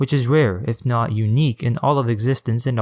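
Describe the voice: Reading aloud, plainly done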